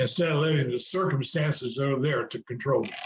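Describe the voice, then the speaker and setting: This man has a fairly high pitch. His voice is somewhat breathy. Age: 70s. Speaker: real estate investor and speaker. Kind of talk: interview testimony. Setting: video call. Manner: hesitant, many fillers.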